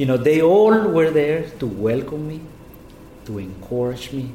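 A man speaks fairly slowly with a Spanish accent. There is noticeable background noise. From Guatemala. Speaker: state official. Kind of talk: interview. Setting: office.

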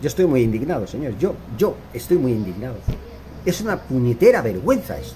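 A man talks at a fairly quick pace in an animated tone. His pitch swings very widely over noticeable background noise. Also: medium pitch for a man. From Barcelona, Spain. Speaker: football commentator YouTuber. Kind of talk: opinion monologue.

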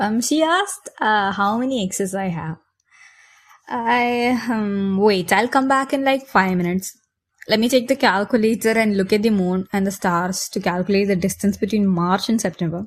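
At a moderate pace, a woman with a medium pitch and a somewhat breathy voice speaks with ordinary pitch variation. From India, Kerala (Kochi). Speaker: podcaster. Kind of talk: casual Q&A monologue.

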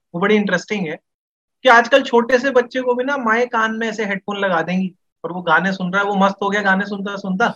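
Moderate pace and ordinary pitch variation in a man's high-pitched voice. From India, Delhi. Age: 20s. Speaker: freelance educator and poet. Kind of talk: casual podcast conversation.

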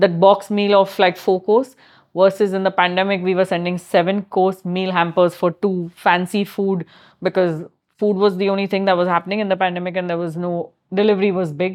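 A woman with an Indian accent at medium pitch, speaking fairly quickly in a flat monotone. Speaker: chef and food business founder. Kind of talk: interview conversation.

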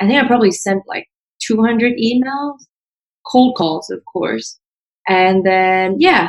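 A woman's fairly high voice at a very slow pace, broken by long, frequent pauses. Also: lively intonation. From Vietnam. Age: 20s. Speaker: former startup founder. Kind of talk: interview.

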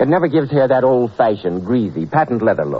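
Over noticeable background noise, a man at medium pitch talks at a very fast pace with very wide pitch swings. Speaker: radio announcer and sponsor pitchman. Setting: old radio studio broadcast. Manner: formal, suave, warmly salesmanlike, crisp mid-Atlantic delivery.

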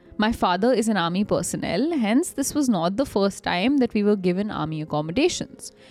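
Backed by music, a woman talks at a fairly quick pace in a medium pitch, her animated tone and lively intonation held at a very even loudness. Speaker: podcast co-host. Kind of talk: horror story narration read aloud. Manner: animated, laughing.

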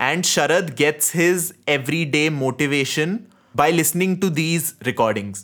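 A man with an Indian accent, fairly high in pitch, moderate pace, ordinary pitch variation and very even loudness. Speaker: podcast host. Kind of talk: casual chat, film discussion.

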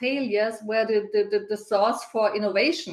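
A woman speaks with a German accent at a moderate pace. Her pitch is fairly high, with ordinary variation. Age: 50s. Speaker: organizational consultant. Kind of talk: interview.

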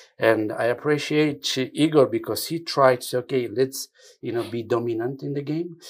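A man with a non-native accent speaks at a fairly slow pace, his pitch fairly high with ordinary variation. The recording is very clean, with a silent background. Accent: foreign. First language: not English. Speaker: football federation technical director. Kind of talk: interview. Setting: studio. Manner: halting.

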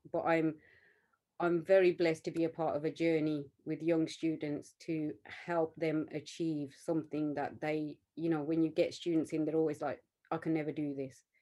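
A woman with a Birmingham accent, a very deep, low pitch, a dark, mellow tone, monotone, flat intonation and a moderate pace. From West Midlands, England. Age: 40s. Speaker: artist and art teacher. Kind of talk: interview conversation.

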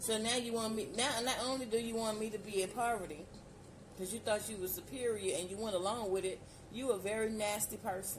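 A woman's fairly high, animated voice at a fairly quick pace, with noticeable background noise and audible room echo. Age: 40s. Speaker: solo podcaster. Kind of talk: casual monologue.

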